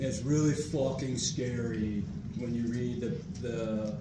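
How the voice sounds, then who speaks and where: The speech moves at a fairly slow pace amid loud background noise and audible room echo. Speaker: army commander. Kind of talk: class discussion. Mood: earnest, candid. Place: meeting room. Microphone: camera far.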